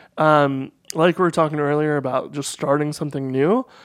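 Recorded very cleanly against a silent background, a man has an unremarkable speaking voice. His pitch is fairly high and his intonation fairly even. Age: 30s. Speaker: computer programmer and entrepreneur. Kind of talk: casual interview conversation.

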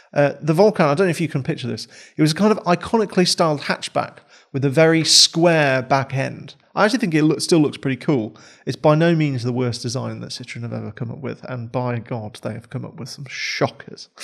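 On a very clean recording with a silent background, a voice with a British accent moves at a fairly quick pace, with lively intonation and big swings in loudness. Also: man, fairly high pitch for a man. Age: 20s. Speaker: podcast host. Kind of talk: interview. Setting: studio.

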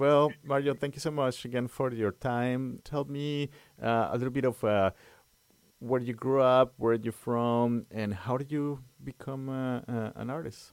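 A man with an unremarkable speaking voice talks at medium pitch and a fairly slow pace on a very clean recording with a silent background. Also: fairly even intonation. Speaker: community radio host. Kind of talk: radio interview. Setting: studio.

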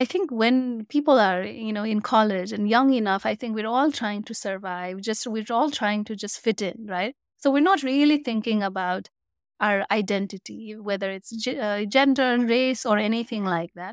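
In a Nepali accent, a woman talks with ordinary pitch variation on a very clean recording with a silent background. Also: moderate pace. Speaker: community founder. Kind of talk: interview answers. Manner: hesitant, filler-heavy.

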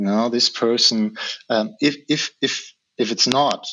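The pace is fairly slow. This man has a German accent. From Germany. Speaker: hypnotherapist. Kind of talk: interview. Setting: video call.

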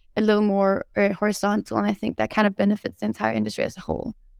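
Dry, close sound with no echo carries the voice. A woman with a Scandinavian accent speaks at a medium pitch. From Denmark and Sweden. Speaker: alternative seafood startup CEO. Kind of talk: panel discussion. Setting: video call. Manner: laughs often.

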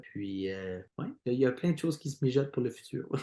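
With an Ontario French accent, a man speaks using ordinary pitch variation. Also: quiet background. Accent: Franco-Ontarian French. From Eastern Ontario (Franco-Ontarian). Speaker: singer in a band. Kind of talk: interview. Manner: repetitive stammering.

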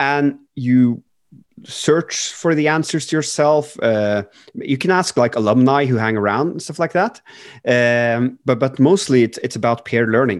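In a quiet background, a man with a Norwegian accent talks at medium pitch with ordinary pitch variation. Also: fairly slow pace. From Norway. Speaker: startup CEO and co-founder. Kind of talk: interview. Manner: halting.

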